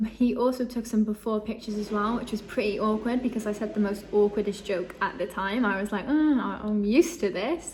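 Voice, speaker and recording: Fairly high-pitched, a woman talks at a fairly quick pace. Background noise is noticeable. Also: ordinary pitch variation. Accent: English. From England. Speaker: vlogger. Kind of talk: casual vlog storytelling. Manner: chatty, lots of fillers.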